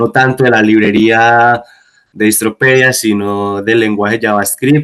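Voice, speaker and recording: Fairly even intonation from a man at medium pitch. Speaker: guest instructor. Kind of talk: online lecture / coding tutorial. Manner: hesitant, many fillers.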